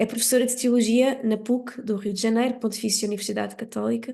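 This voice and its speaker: A woman with a fairly high pitch at a fairly quick pace, against a quiet background. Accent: European Portuguese. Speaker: conference moderator. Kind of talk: formal introduction of speaker. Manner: hesitant, many fillers.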